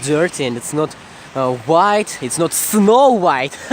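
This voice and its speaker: A man with a fairly high pitch talks at a fairly slow pace. Noticeable background noise is present. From Russia, Moscow region. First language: Russian. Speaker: vlogger. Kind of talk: casual walking vlog. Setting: outdoors at night, walking. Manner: halting, self-correcting.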